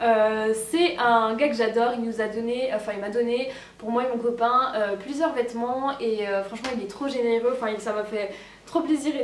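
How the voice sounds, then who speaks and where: A woman's high voice with ordinary pitch variation, audible room echo and noticeable background noise. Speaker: fashion youtuber. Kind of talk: casual haul video. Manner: fast; animated.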